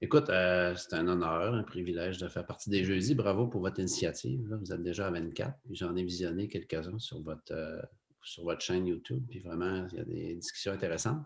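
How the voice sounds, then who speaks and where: At a fairly quick pace, a man speaks with a very deep, low pitch and ordinary pitch variation. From Quebec, Lac-Saint-Jean (Saguenay region). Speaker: photographer and TV cameraman. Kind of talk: casual interview chat. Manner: hesitant, many fillers.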